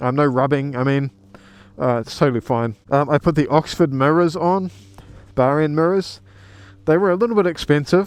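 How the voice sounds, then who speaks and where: Speech with a New Zealand accent at a moderate pace, with ordinary pitch variation and long, frequent pauses. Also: man, fairly high pitch for a man. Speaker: motorcycle vlogger. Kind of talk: casual vlog walkaround. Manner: casual, hesitant with ums.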